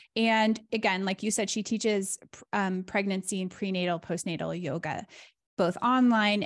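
In an unremarkable speaking voice, a woman talks at a medium pitch and moderate pace with ordinary pitch variation over a quiet background. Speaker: podcast host and business coach. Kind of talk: casual business discussion.

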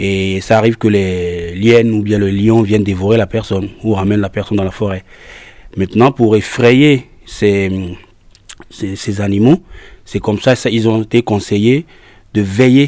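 In a West African French accent, a man with a fairly low pitch talks with fairly even intonation. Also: moderate pace. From Togo. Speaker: singer and drummer. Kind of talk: interview. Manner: halting, repetitive.

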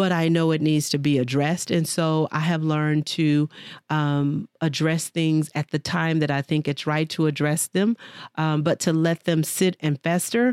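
On a very clean recording with a silent background and a dry, close sound with no echo, a woman with an American accent speaks at a moderate pace in a fairly low voice. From Texas, Dallas. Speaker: podcast host, business coach. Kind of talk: personal monologue. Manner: casual, with many fillers.

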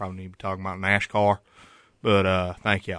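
Against a quiet background, a man with a Southern US accent speaks very fast in a very deep, low, bright and sharp voice, monotone and flat, with a dry, close sound and no echo. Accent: country, Southern US. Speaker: college radio sports show co-host. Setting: radio studio.

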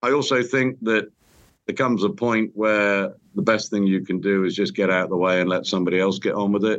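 Spoken at a moderate pace with a British accent, the voice holds a very even loudness throughout. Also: man. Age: 60s. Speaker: construction company chief executive. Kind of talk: interview, casual chat.

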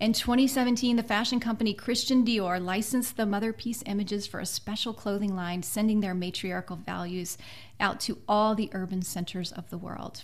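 Somewhat breathy, a woman with an American accent speaks at a moderate pace and medium pitch with fairly even intonation. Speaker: podcast host and author. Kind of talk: interview.

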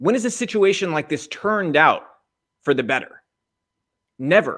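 An animated tone and lively intonation from a man with an American accent. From United States. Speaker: political commentary podcast host. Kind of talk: political monologue.

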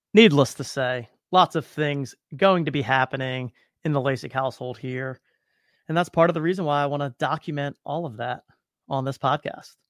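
An upbeat, energetic man talks at a fairly high pitch with ordinary pitch variation. The recording is very clean, with a silent background. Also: moderate pace, dry, close sound with no echo. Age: 30s. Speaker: podcast host, new father, startup founder. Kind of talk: solo podcast monologue.

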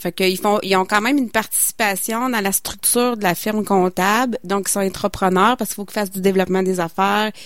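A woman at a medium pitch, fairly quick and fairly even in intonation, on a very clean recording with a silent background. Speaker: community radio co-host. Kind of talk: radio interview.

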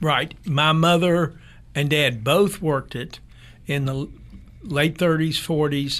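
A man with an American accent speaks at a very slow pace in a fairly high pitch, his intonation fairly even and broken by long, frequent pauses. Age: 70s. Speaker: restaurant owner. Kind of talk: interview.

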